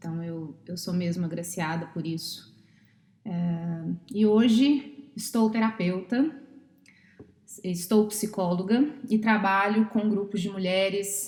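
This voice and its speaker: A woman with a Brazilian accent, at a very slow pace with long, frequent pauses. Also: medium pitch for a woman, ordinary pitch variation, big swings in loudness. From Brazil, Minas Gerais. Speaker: psychologist and therapist. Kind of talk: podcast interview.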